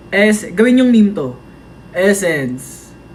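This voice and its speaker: A man at a high pitch and very slow pace, with noticeable background noise. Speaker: idol group member livestreaming to fans. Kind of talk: casual livestream chat reading comments. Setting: TikTok live stream.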